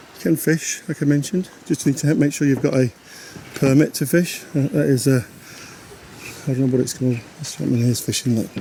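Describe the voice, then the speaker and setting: A man's fairly high voice with ordinary pitch variation, long, frequent pauses and noticeable background noise. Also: fairly quick pace. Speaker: caravanning vlogger. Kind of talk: vlog walkthrough. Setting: outdoors at a campsite.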